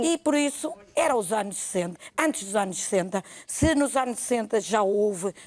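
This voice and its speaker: Lively in intonation, a woman with an unremarkable speaking voice talks at a moderate pace and a fairly high pitch. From northern Portugal, Felgueiras area. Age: 60s. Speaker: TV interview guest, real estate agent. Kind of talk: TV talk show interview.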